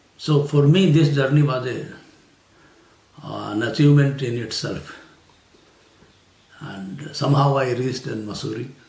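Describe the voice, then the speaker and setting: At a moderate pace and fairly high pitch, a man speaks with ordinary pitch variation, big swings in loudness and long, frequent pauses, with audible room echo. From India, rural Haryana. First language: Hindi/Haryanvi. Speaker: retired civil servant. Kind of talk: interview. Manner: hesitant, many fillers.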